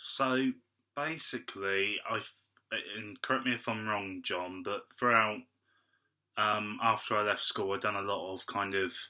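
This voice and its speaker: Speaking with an English accent and a bright, sharp tone, a man at fairly low pitch moves at a fairly slow pace with ordinary pitch variation and long, frequent pauses. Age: 20s. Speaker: actor. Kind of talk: interview. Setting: video call. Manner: halting.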